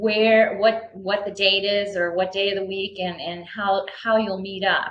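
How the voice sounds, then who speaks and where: Audible room echo surrounds a woman speaking fairly slowly at a medium pitch, her intonation monotone and flat. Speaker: mentoring program coordinator. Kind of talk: online presentation. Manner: halting, many fillers.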